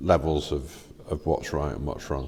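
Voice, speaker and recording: Speaking at a very slow pace, a man with an English accent talks with vocal fry. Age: 60s. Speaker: father in a Bible reading series. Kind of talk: casual faith discussion. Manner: halting.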